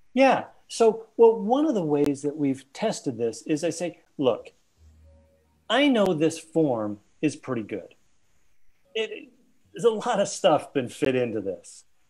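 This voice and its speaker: Over music in the background, a man with a high pitch talks at a fairly slow pace, leaving long, frequent pauses. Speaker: open space facilitator and agile consultant. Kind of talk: casual interview conversation. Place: home room. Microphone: video call.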